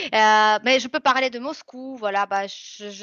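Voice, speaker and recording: A woman talks at a fairly slow pace with medium pitch and ordinary pitch variation. The background is quiet, and the sound is dry and close with no echo. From Russia. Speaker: French tutor. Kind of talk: interview. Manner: hesitant, many fillers.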